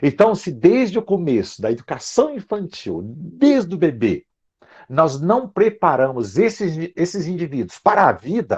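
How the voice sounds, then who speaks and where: A man speaks at a fairly slow pace with a high pitch. His pitch swings very widely. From Brazil. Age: 60s. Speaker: psychology professor. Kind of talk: lecture. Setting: video call.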